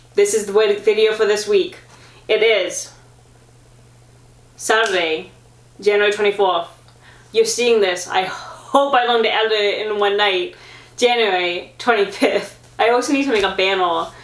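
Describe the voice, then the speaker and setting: A woman's voice with ordinary pitch variation and long, frequent pauses, amid noticeable background noise and audible room echo. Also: medium pitch for a woman. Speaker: vlogger, amateur marathon runner. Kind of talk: casual sit-down vlog talk. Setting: sitting at home filming herself. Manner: fast and garbled when excited.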